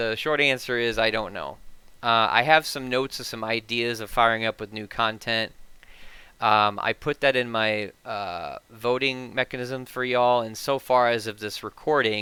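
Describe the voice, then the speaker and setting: A man speaks at a medium pitch with ordinary pitch variation and a bright, sharp tone, on a very clean recording with a silent background. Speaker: tech YouTuber. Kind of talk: casual channel update. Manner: fast.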